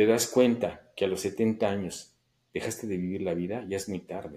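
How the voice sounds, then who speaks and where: A man with a dark, mellow tone speaks at a fairly slow pace on a very clean recording with a silent background. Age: 60s. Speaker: amateur photographer. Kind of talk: interview.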